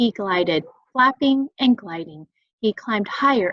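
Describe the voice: A quiet background behind plain reading aloud.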